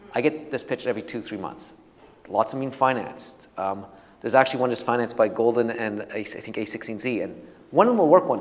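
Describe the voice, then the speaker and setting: Amid noticeable background noise, a man at medium pitch talks at a very fast pace. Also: ordinary pitch variation, big swings in loudness. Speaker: venture capital investor. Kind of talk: talk with Q&A to audience. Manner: halting with many restarts.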